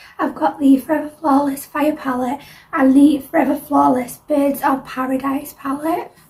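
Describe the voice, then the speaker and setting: Against noticeable background noise, a woman speaks at a moderate pace in a high pitch with monotone, flat intonation. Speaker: makeup tutorial creator. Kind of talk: tutorial. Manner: casual, friendly.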